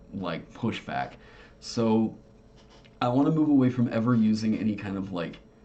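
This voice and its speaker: At a moderate pace with long, frequent pauses, the speaker uses ordinary pitch variation over noticeable background noise. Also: man, medium pitch for a man. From Oklahoma. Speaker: tabletop game designer and streamer. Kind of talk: casual livestream chat. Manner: halting, many fillers.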